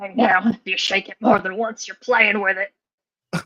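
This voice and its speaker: A woman's raspy put-on character voice, medium in pitch, with monotone, flat intonation, big swings in loudness and a moderate pace. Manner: crude joking.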